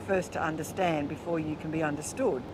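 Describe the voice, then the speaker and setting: With an Australian accent, a woman speaks at a fairly low pitch with ordinary pitch variation, amid noticeable background noise and audible room echo. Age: 60s. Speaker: motorcycle-touring barber. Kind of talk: interview. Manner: animated.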